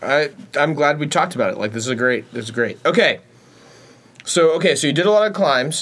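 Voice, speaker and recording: Fairly quick and lively, a man speaks at a fairly high pitch. He leaves long, frequent pauses. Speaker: podcast co-host. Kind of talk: casual banter chat.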